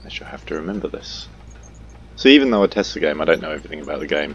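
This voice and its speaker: Male speaker against noticeable background noise. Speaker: gaming youtuber. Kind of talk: gameplay tutorial commentary. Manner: flat, monotone-sounding; hesitant, many fillers.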